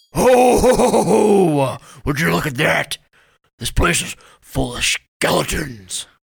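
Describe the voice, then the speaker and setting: A man puts on a character voice at a fairly high pitch. He goes at a very slow pace with very wide pitch swings. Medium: audio drama. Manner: crude, greedy, gleefully rude.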